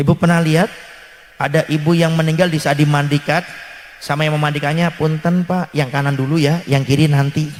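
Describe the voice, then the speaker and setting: Noticeable noise sits behind the voice. Delivery is fairly quick. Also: man, fairly high pitch for a man. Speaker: Islamic preacher. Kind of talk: sermon. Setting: religious gathering with audience. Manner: animated.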